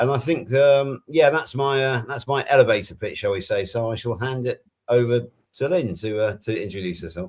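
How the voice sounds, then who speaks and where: Speaking with a West Country accent, a man uses a somewhat breathy, medium-pitched voice with ordinary pitch variation at a moderate pace. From England. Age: 60s. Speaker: health coach, panel co-host. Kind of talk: casual chat.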